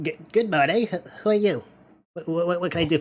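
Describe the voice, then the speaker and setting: A man uses a put-on character voice with a high pitch. He talks at a fairly quick pace. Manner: hesitant, stammering, sleepy.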